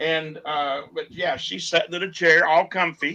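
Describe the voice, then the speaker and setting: At a fairly slow pace, a man with an unremarkable speaking voice talks at a fairly high pitch. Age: 60s. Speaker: tractor pulling tech and safety director, auctioneer. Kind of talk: casual chat. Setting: video call from his shop.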